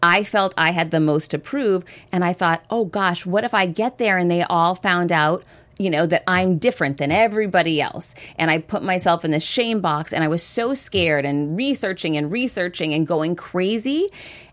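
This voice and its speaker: A woman with a fairly low pitch and an ordinary speaking voice, at a moderate pace with ordinary pitch variation, very even loudness, and a very clean recording with a silent background. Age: 40s. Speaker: author and entrepreneur. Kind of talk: interview.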